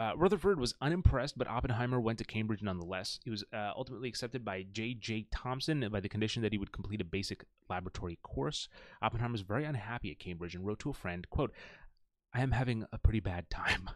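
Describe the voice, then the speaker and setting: The sound is dry with no echo, over a quiet background. A man speaks at a very fast pace with ordinary pitch variation. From Indian heritage. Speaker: YouTuber. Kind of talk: solo commentary reading Wikipedia aloud. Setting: home recording with live chat. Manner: halting; casual. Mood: playful, joking. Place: home room.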